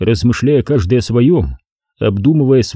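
A quiet setting with plain reading aloud

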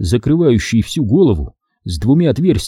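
An unforced reading voice is heard. The background is quiet.

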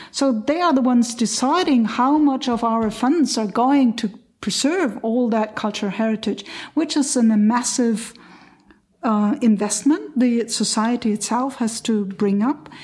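A fairly high-pitched woman with a German accent, fairly slow, with very even loudness and ordinary pitch variation. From Lower Saxony, Germany. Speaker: cultural event organizer. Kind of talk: roundtable discussion.

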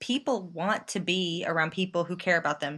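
Talking at a fairly quick pace, a woman in a plain, everyday voice keeps a fairly low pitch with ordinary variation. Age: 20s. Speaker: YouTuber and theater performer. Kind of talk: casual chat.

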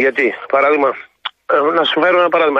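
The man's voice sits at a fairly high pitch with ordinary pitch variation. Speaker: village president and farmer. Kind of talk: radio phone interview.

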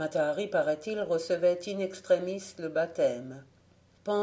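Someone reads in an unforced reading voice, and the pitch varies by an ordinary amount.

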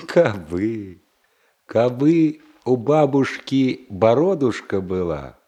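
Using a put-on character voice, a man speaks slowly with big pitch swings, a dark, mellow tone and a slightly husky edge. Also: medium pitch for a man.

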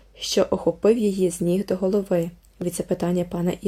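Someone reads aloud in a natural voice.

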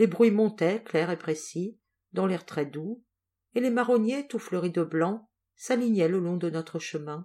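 This is a natural reading voice heard over a quiet background.

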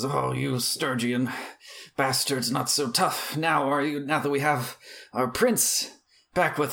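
A man puts on a raspy character voice at medium pitch with fairly even intonation. He goes at a fairly slow pace with long, frequent pauses. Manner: taunting.

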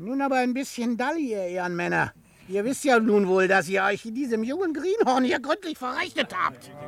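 A man puts on a character voice pitched extremely high, with a fairly bright tone and vocal fry. His intonation is lively and his pace fairly quick.

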